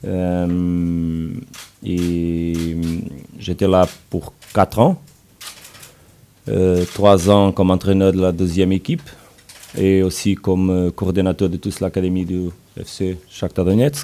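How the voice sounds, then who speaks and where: Speaking in a Portuguese accent at a very deep, low pitch, a man talks at a very slow pace with long, frequent pauses and fairly even intonation over noticeable background noise. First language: Portuguese (speaking French). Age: 40s. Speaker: football coach. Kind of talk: press conference. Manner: halting.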